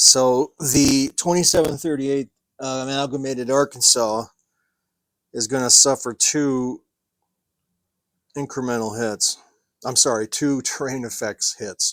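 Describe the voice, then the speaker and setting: A medium-pitched male voice at a fairly slow pace, fairly even intonation and long, frequent pauses, with a dry, close sound with no echo and a very clean recording against a silent background. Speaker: miniature wargaming tutorial presenter. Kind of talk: tutorial. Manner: slow, with many fillers and self-corrections.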